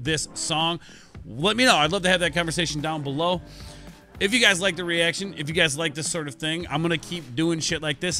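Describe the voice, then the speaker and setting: A man speaks very fast. Faint music can be heard in the background. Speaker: music reaction youtuber. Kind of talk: casual reaction commentary. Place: home room. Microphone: studio mic.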